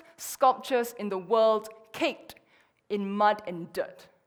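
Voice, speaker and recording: A woman speaks with a Chinese accent. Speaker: conference speaker. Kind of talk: conference talk.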